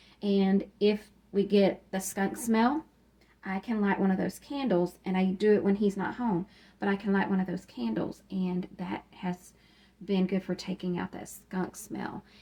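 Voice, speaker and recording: A woman speaks at a fairly slow pace with a medium pitch. Her pitch varies in an ordinary way, and there is noticeable background noise. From Kentucky. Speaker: YouTube decluttering vlogger. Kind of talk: casual home-tour vlog. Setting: at home, utility closet. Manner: hesitant, many filler ums.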